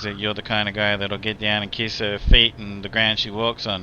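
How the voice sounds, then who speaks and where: A man with an Australian accent speaks fairly low at a moderate pace. His tone is bright and sharp, his intonation monotone and flat. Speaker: gaming streamer. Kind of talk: casual chat. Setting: live stream. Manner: rambling, hesitant with fillers.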